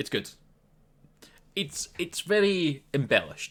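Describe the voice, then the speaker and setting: A man with a Scottish accent and a bright, sharp tone. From Scotland. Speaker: gaming commentator. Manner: casual, conversational.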